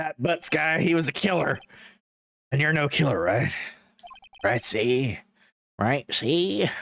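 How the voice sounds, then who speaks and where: A man puts on a character voice, fairly high in pitch, with lively intonation and very even loudness. He talks fairly slowly and takes long, frequent pauses. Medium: game stream. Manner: tough-guy talk ending lines with "see?" and "pal".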